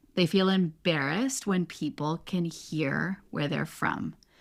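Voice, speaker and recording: In a Canadian accent, a woman with an ordinary speaking voice talks at a fairly low pitch and fairly slow pace with lively intonation, on a very clean recording with a silent background. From Canada. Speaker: podcast host, English coach. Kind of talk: interview.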